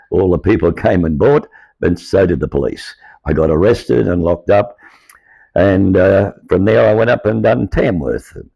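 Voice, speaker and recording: With an Australian accent, a man speaks at a moderate pace in a very deep, low pitch, his intonation lively, his loudness very even, and vocal fry in his voice. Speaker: former market trader. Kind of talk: personal testimony.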